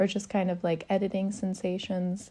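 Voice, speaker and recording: At a fairly slow pace, a woman speaks with a West Coast accent. Her voice is fairly low, dark and mellow. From Oregon, US. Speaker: photographer. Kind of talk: casual interview chat.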